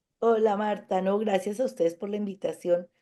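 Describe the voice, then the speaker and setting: Dark and mellow in tone, a woman speaks with fairly even intonation. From Colombia, Cundinamarca. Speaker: occupational therapist. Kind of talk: TV interview.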